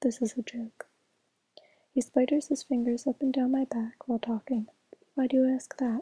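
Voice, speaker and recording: Whispering and soft-spoken, a woman talks at a moderate pace in a dry, close sound with no echo. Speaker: ASMR reader. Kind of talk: audiobook-style reading, ASMR. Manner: soft-spoken, whispery, relaxing.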